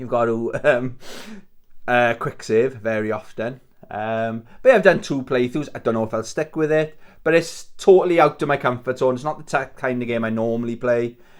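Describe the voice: A man talks at a moderate pace, his pitch medium and varying in an ordinary way.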